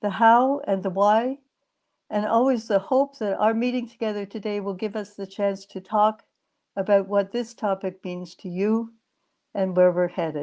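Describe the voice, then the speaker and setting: A woman with a Canadian accent speaks at a moderate pace in a dark, mellow tone with ordinary pitch variation. The background is quiet. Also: medium pitch for a woman. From Canada. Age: 70s. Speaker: lecturer, feminist activist. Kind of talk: lecture.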